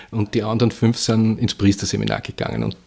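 Vocal fry in a monotone, flat intonation. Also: man. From Vienna, Austria. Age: 60s. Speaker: bookseller. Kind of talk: interview. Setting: bookshop.

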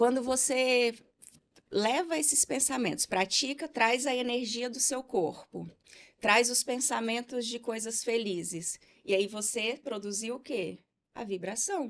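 A woman speaks in a high pitch at a fairly slow pace. Her pitch varies in an ordinary way. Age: 40s. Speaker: therapist and entrepreneur. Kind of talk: casual interview.

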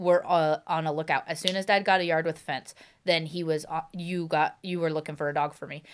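This is a very clean recording with a silent background. A woman speaks with a fairly low pitch. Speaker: dog owner. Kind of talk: casual chat. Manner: fast talker; animated.

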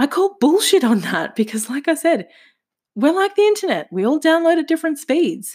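Her high pitch makes very wide swings as this woman speaks at a moderate pace. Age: 30s. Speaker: podcast host. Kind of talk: solo monologue podcast. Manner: casual.

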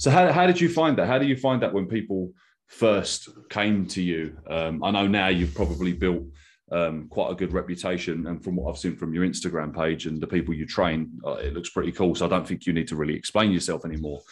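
Using a very deep, low pitch with ordinary pitch variation, a man speaks with a southern English accent. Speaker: podcast host and adaptive trainer. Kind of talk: interview.

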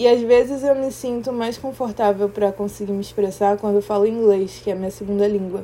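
Against noticeable background noise, a woman talks at a medium pitch with fairly even intonation and hardly any pauses. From Brazil, Rio de Janeiro. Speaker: podcaster. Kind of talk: personal reflective monologue. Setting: quiet room. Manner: slow, with pauses.

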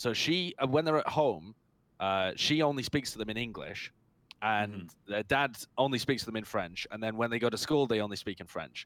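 A man in a British accent talks at a fairly quick pace with a medium pitch and lively intonation. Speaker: esports personality and podcast co-host. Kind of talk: casual chat. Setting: at home on headset and mixer.

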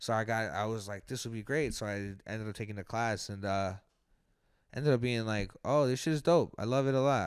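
A man with an unremarkable speaking voice, medium pitch and an American accent, at a fairly quick pace. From New York, Colombian American family. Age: 20s. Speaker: comedian. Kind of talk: casual chat.

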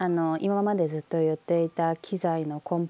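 In a very clean recording with a silent background, a woman speaks at a moderate pace in a fairly low pitch, her dark, mellow tone dry and close with no echo. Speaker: podcast host. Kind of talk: casual chat.

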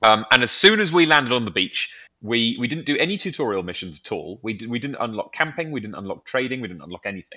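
Talking very fast with hardly any pauses, a man with a British accent makes very wide pitch swings and big swings in loudness. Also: medium pitch for a man. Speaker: gaming podcast panelist. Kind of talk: casual chat. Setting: remote call, early morning. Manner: halting, many fillers.

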